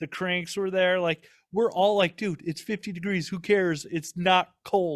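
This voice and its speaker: A man with a Minnesotan accent speaks at a fairly slow pace in a high voice. The recording is very clean, with a silent background and a dry, close sound with no echo. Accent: Minnesota. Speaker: podcast host. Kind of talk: casual chat. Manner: animated.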